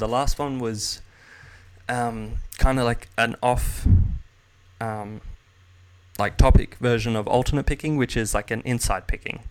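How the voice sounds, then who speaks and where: A man with an Australian accent talks at a moderate pace and a medium pitch. His intonation is fairly even, and he leaves long, frequent pauses. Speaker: jazz guitarist and guitar teacher. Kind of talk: casual chat. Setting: video call.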